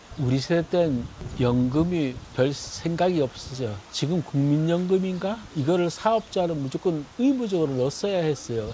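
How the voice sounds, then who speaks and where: A man's fairly high pitch with lively intonation, very even loudness and a moderate pace, amid noticeable background noise. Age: 70s. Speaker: retired factory owner. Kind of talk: street interview. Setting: outdoors in a park. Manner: casual, halting.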